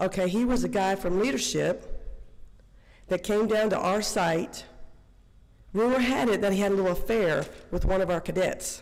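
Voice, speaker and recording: A woman's medium-pitched voice at a moderate pace, with ordinary pitch variation, very even loudness, and long, frequent pauses. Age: 60s. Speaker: public commenter, former corrections officer. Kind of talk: public comment at board meeting. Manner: animated.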